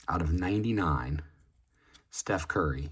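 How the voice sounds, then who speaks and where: This man has a very deep, low voice that is somewhat breathy. His pitch varies in an ordinary way. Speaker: sports card collector. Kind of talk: card box opening. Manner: casual with fillers.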